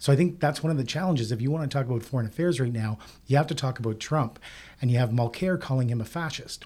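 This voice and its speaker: Somewhat breathy, a man talks at a very fast pace. His pitch is medium, with ordinary pitch variation. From Nova Scotia. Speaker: political pundit. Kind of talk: panel discussion.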